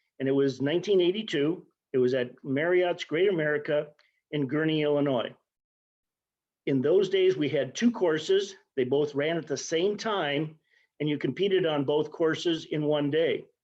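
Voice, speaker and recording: A man with a normal speaking voice, fairly high in pitch with ordinary variation, at a moderate pace. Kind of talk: interview answer.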